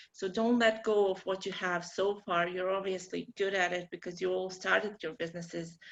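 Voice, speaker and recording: At a moderate pace with hardly any pauses, a woman of medium pitch speaks in a monotone, flat intonation with a Bosnian accent. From Bosnia and Herzegovina. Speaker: marketing workshop presenter. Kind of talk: online workshop presentation.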